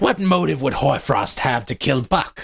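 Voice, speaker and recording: A growling, put-on character voice at a moderate pace. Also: man. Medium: read story.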